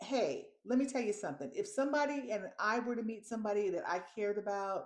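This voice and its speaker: Moderate pace, ordinary pitch variation and an animated tone. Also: woman. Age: 60s. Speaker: video blogger. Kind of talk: casual vlog monologue.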